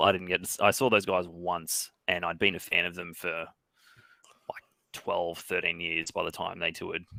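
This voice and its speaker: The voice has a bright, sharp tone and an Australian accent, moving at a moderate pace. The recording is very clean, with a silent background. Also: man. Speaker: guest. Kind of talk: casual chat. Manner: halting.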